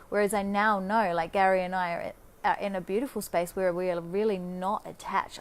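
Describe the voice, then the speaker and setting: A woman with an Australian accent talks at a fairly quick pace in a monotone, flat intonation. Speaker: life coach. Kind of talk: casual monologue. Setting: Facebook live video. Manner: fast.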